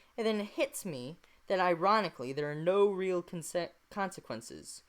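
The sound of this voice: Ordinary pitch movement in an unforced reading voice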